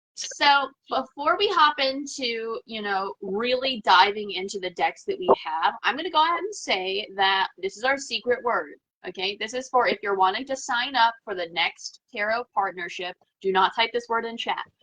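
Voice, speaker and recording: A woman with an American accent, fairly high pitch, lively intonation and a moderate pace. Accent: slight southern US accent, stronger when mad. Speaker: tarot livestream host. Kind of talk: casual livestream chat.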